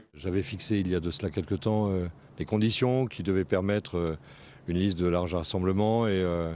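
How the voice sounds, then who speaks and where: On a very clean recording with a silent background, a man speaks at a fairly quick pace with a very deep, low pitch and ordinary pitch variation. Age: 60s. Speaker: local politician. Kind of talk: interview. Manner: halting, many hesitations.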